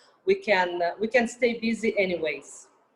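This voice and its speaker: With a fairly high pitch, a woman speaks using ordinary pitch variation. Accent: Russian. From Russia. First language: Russian. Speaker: artist and model. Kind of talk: interview.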